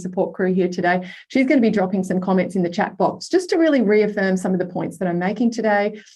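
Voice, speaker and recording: Her tone is dark and mellow, and the woman speaks at a fairly quick pace. The background is quiet. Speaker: workshop facilitator, life coach. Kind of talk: online masterclass workshop. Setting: video call. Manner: fast; high energy.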